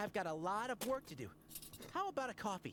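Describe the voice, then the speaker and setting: A female-sounding put-on character voice at a fairly high pitch rattles along at a very fast pace. Clear background noise sits behind it. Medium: video game. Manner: stammering, nervous.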